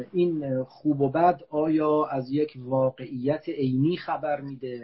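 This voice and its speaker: A man at a very slow pace, with fairly even intonation. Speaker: philosophy professor. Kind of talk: lecture. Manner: formal; soft-spoken.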